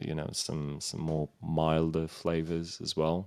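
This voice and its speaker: A man talks at a fairly slow pace in a very deep, low pitch, his intonation monotone and flat. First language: Romanian. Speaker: streamer and musician. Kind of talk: podcast interview. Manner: halting, many fillers.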